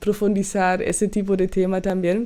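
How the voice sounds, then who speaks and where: The voice has a German accent and a dark, mellow tone. It moves at a fairly slow pace. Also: woman. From Germany. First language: German (speaking Spanish). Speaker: podcast host and music reaction youtuber. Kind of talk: casual podcast monologue. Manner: halting, many fillers.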